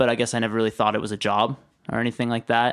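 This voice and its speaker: On a very clean recording with a silent background, a man of medium pitch speaks with a Western Canadian accent in a monotone, flat intonation. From British Columbia, Canada (Maple Ridge, then Kelowna). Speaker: filmmaker. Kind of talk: casual interview.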